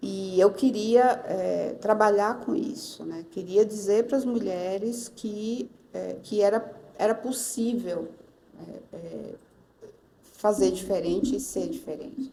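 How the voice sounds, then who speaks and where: Speaking at a very slow pace, a woman with a medium pitch uses lively intonation and big swings in loudness. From Northeast Brazil. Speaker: pastor. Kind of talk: interview answer.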